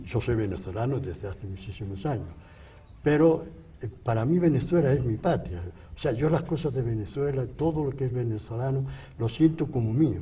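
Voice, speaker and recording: A man with lively intonation talks at a moderate pace and medium pitch, his tone dark and mellow, his voice somewhat breathy. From Spain. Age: 80s+. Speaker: priest, missionary. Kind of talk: interview testimony.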